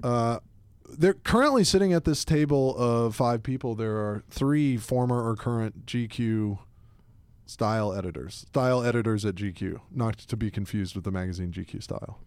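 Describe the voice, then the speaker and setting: A man with an American accent and a plain, everyday voice, medium pitch, lively intonation and a moderate pace. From US South, Atlanta. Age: 30s. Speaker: podcast host, fashion editor. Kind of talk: casual chat. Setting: studio.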